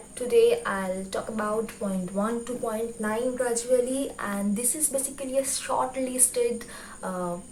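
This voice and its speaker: A woman with a Bengali accent speaks fairly slowly at a high pitch, her intonation fairly even. Noticeable background noise and audible room echo surround her. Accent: Bengali-accented Indian English. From India, West Bengal. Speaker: YouTuber, book reviewer. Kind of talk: tutorial. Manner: hesitant, many fillers.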